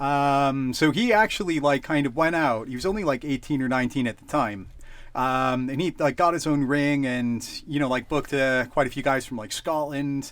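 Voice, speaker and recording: Recorded very cleanly against a silent background, the voice moves at a moderate pace with ordinary pitch variation. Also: man, fairly high pitch for a man. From Canada. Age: 30s. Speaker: wrestling promoter. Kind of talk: casual chat. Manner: halting, many fillers.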